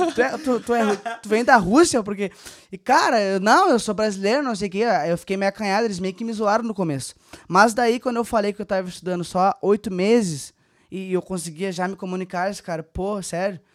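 Moderate pace and ordinary pitch variation from a man with a high-pitched voice. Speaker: former exchange student. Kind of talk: casual chat. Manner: animated.

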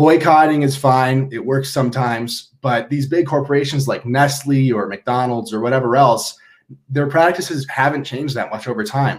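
A man with an American accent talks at a moderate pace in a plain, everyday voice, with medium pitch and ordinary pitch variation. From Minnesota. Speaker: branding agency founder. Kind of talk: interview.

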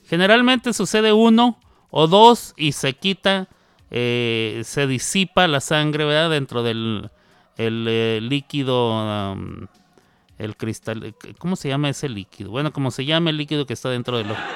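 With music playing in the background, a man talks with very wide pitch swings in a dry, close sound with no echo. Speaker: radio host. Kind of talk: casual chat. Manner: halting.

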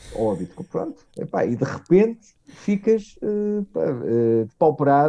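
A man with a European Portuguese accent, lively intonation and a dark, mellow tone at a very slow pace, in a dry, close sound with no echo. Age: 40s. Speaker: technology marketing director. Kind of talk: casual interview chat. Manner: halting, many fillers.

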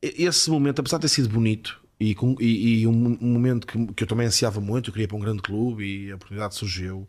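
In a very clean recording with a silent background, a man talks at a very fast pace with ordinary pitch variation. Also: medium pitch for a man, hardly any pauses. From northern Portugal, Porto. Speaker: former footballer turned football pundit. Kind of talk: casual interview chat.

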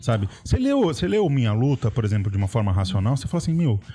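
Speaking at a very fast clip, a man with a dark, mellow tone sounds somewhat breathy as his pitch swings very widely. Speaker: history podcast co-host. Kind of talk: casual history discussion. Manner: animated, laughs often.

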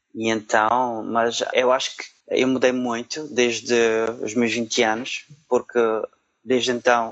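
In a Madeiran accent, a man talks at a very slow pace with medium pitch and flat, monotone intonation. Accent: European Portuguese, Madeiran. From Portugal, Madeira island. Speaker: supply chain analyst. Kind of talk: interview. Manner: halting, many fillers.

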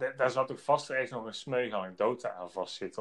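The man's medium-pitched delivery, with ordinary pitch variation, is an unremarkable speaking voice. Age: 30s. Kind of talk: business interview. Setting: outdoors on site.

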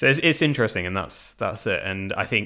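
Speaking with a British accent at a fairly quick pace, a man is captured on a very clean recording with a silent background. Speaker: business director. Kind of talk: casual chat.

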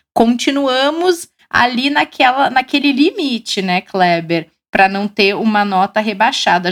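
The lively intonation comes in an ordinary speaking voice, at a fairly slow pace. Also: woman. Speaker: financial show host. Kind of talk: live show hosting.

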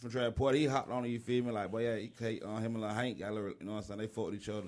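His intonation is fairly even. The man's pitch is in the medium range. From Riverdale, Clayton County, Georgia. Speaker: rapper. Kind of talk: casual chat.

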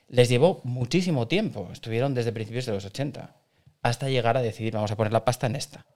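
A man speaks at a very fast pace with ordinary pitch variation. His pitch sits in the medium range. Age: 40s. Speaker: podcast co-host. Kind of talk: casual chat.

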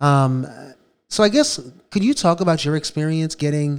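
A man with an American accent, fairly high in pitch, with ordinary pitch variation at a moderate pace. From New York City (South Bronx). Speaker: podcast co-host, bail fund advocate. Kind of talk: casual discussion. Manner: hesitant, many fillers.

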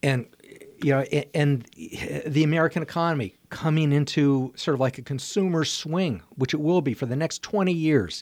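Over a silent background in a very clean recording, a man uses a plain, everyday voice, fairly high in pitch, with ordinary pitch variation at a moderate pace. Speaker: art show host, guest. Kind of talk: casual radio conversation. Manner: warm, friendly, cheerful.

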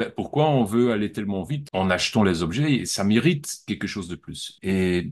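A man's fairly low voice with lively intonation at a moderate pace, hardly any pauses, against a quiet background. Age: 40s. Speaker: art dealer. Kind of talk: interview. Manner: halting.

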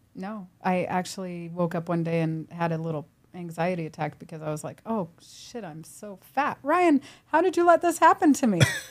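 A woman's normal speaking voice, fairly low in pitch, at a moderate pace with lively intonation and big swings in loudness. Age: 50s. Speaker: personal trainer and gym owner. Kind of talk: casual chat.

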